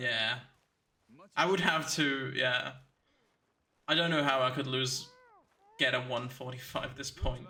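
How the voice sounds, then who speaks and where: A man with a German accent speaks at a medium pitch and a fairly slow pace, his fairly even intonation interrupted by long, frequent pauses, with audible room echo around him. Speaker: speedrunner streamer. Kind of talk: live commentary. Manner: halting.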